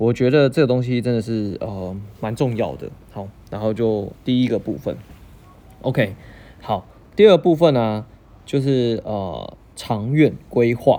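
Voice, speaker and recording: Speaking at a fairly slow pace, a man with a dark, mellow tone leaves long, frequent pauses. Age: 30s. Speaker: podcast host. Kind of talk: casual solo podcast monologue.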